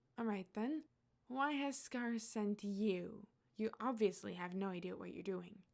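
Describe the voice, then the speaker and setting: A woman does a gruff, put-on character voice at a medium pitch. She keeps a moderate pace with ordinary pitch variation. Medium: read story. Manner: calm, dry, controlled.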